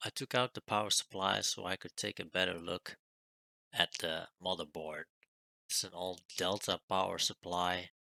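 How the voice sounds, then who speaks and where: Mumbling at a moderate pace, a man with a very deep, low pitch has a bright, sharp tone in a dry, close sound with no echo. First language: not French; non-native English speaker. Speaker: retro computer hobbyist youtuber. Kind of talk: tutorial.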